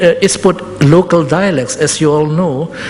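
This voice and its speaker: Amid noticeable background noise, a woman with a non-native accent talks at a fairly low pitch with ordinary pitch variation. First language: not English. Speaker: public health expert. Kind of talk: presentation. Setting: public forum. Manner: halting.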